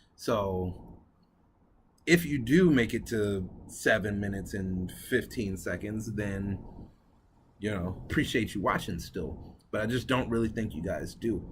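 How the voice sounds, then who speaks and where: A man with a fairly low, somewhat breathy voice speaks at a fairly slow pace. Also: ordinary pitch variation. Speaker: cigar review vlogger. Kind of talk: casual vlog talk to camera.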